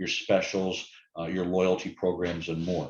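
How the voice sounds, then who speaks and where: Speaking in a very deep, low pitch, a man's voice fills the clip. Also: quiet background. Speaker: app vendor presenter. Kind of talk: webinar sales presentation. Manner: fast.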